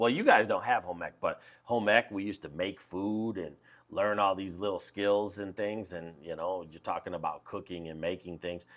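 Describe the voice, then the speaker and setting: In a normal speaking voice, a man talks at a moderate pace with a fairly low pitch and fairly even intonation. His loudness swings widely in a very clean recording with a silent background. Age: 40s. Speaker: high school teacher. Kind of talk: casual interview. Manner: relaxed, conversational.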